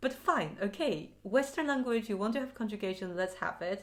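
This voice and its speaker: With a Mandarin accent, a woman speaks at a moderate pace using lively intonation. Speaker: language learning vlogger. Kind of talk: casual vlog talk to camera. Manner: animated.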